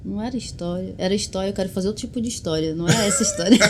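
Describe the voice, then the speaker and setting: The woman's voice is somewhat breathy. Her pitch variation is ordinary. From Brazil, Belém, Pará. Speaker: musician. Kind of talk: interview. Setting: studio.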